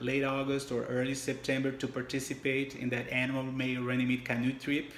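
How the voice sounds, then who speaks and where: A man with a strong non-native accent speaks at a medium pitch in a monotone, flat intonation. Room echo is audible. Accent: heavy foreign. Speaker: church member giving testimony. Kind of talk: testimony. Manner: halting.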